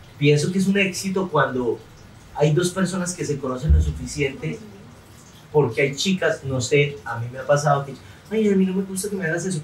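A man speaks in an animated tone at a fairly quick pace, his pitch fairly high with ordinary variation. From Colombia, Santander. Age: 30s. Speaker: comedian and interviewer. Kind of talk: casual interview.

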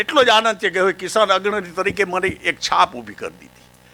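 A man speaks in a high-pitched, raised and projected voice. His tone is bright and sharp. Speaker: farmer leader. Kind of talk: public speech. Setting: stage with audience.

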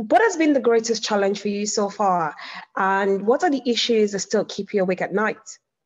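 This woman has a plain, everyday voice and a medium pitch. She talks at a moderate pace with ordinary pitch variation. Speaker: local councillor and event chair. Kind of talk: moderating an online discussion. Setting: video call.

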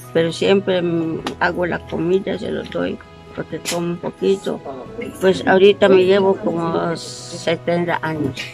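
Clear music plays behind a woman speaking. Her pitch is fairly low, with ordinary variation. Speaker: interviewed wife. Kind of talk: interview answer. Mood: warm, reflective. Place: garden. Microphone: phone near.

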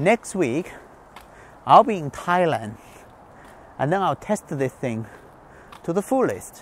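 Speech moves at a slow pace with big pitch swings. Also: man, fairly high pitch for a man.

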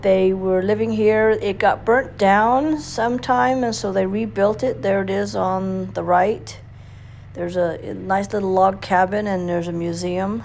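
There is light background noise. A woman talks at a fairly slow pace. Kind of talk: casual ride narration. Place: motorbike. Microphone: helmet.

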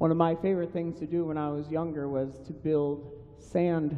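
He talks at a fairly slow pace. The voice is a man's. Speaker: pastor. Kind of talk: sermon. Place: church.

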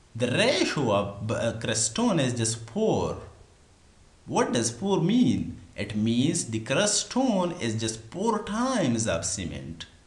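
There is noticeable background noise in the recording. A man talks very slowly through it. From Pakistan. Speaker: engineering tutor on a video channel. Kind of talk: tutorial. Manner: halting, many fillers.

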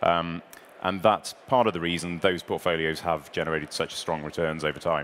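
Fairly even intonation comes through over light background noise. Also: man. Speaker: presenter. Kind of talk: investor presentation. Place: stage. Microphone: headset.

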